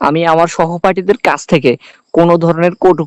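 The man's voice sits high in pitch. Everything sounds dry and close, with no echo at all. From Bangladesh, Noakhali (Hatiya). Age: 20s. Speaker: visually impaired student. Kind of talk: interview testimony. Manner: halting.

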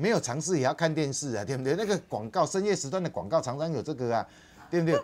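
The speech comes at a very fast pace. Light background noise is present. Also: man. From Taiwan. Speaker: political commentator. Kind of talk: TV political talk show commentary. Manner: animated, emphatic. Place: studio. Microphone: lapel.

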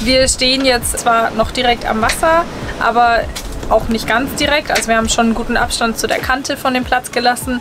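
Music sounds in the background. The talking goes at a fairly quick pace. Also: woman. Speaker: vlogger. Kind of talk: casual vlog chat. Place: home room. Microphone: phone near.

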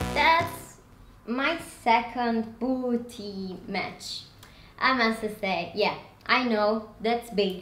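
In a room with audible echo and light background noise, a woman with a non-native accent speaks very slowly at a fairly high pitch with ordinary pitch variation. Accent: non-native English, noticeable. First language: not English. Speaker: fashion and lifestyle vlogger. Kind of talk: casual product review haul video. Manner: animated, enthusiastic, slightly halting. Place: home room. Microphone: camera far.

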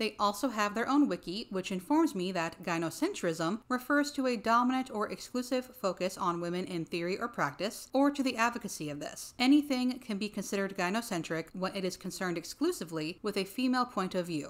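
A woman speaks at a fairly quick pace with lively intonation and hardly any pauses. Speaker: commentary youtuber. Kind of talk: commentary. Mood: dry critical tone. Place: home room.

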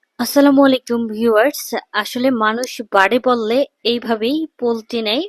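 A woman speaks in a high voice with fairly even intonation. The sound is dry and close, with no echo. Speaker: YouTube news commentator. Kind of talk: news commentary monologue.

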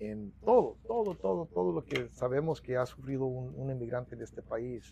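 Intonation here is lively. A dark, mellow tone comes at a fairly slow pace. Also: man, dry sound with no echo. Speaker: union president; interviewee. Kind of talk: interview. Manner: halting, repetitive. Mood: earnest, reflective. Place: office. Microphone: lapel.

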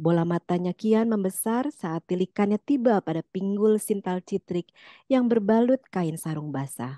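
The background is kept quiet. Over it, text is read aloud in a natural voice.

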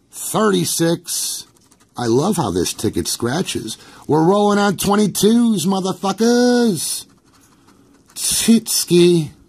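A man's high-pitched voice, very slow pace and lively intonation. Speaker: YouTuber. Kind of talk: casual vlog monologue. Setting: at home. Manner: animated.

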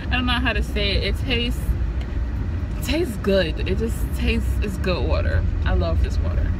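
This woman talks at a moderate pace with ordinary pitch variation. The sound is dry with no echo, though loud background noise is present. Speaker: vlogger. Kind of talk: casual vlog chat. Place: car. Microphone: phone near.

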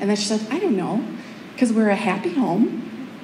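A woman talks at a moderate pace. Audible room echo and light background noise are present. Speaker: teacher giving a talk. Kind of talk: public speech storytelling. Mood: warm, heartfelt. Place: hall.

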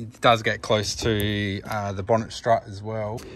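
A man at a fairly slow pace, dry sound with no echo, and light background noise. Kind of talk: tutorial. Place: street. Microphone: phone near.

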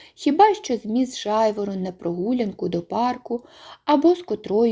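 Lively intonation in plain reading aloud

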